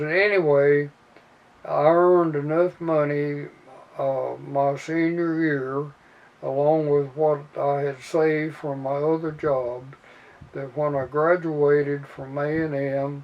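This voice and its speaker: Over noticeable background noise, a man with a Midwestern American accent speaks at a very slow pace in a flat monotone, his pitch fairly high. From Indiana. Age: 80s+. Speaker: army veteran. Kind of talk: interview answer. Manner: hesitant, with fillers.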